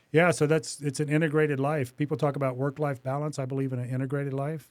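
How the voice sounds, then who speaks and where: This man's voice sits at a fairly high pitch. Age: 60s. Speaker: business owner. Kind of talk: interview. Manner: halting, with frequent repetitions.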